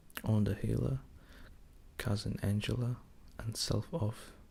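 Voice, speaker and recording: A man whispers at a fairly slow pace. His tone is gentle and calm. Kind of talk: audiobook-style reading of a novel, ASMR. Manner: gentle, calm, slow, relaxing.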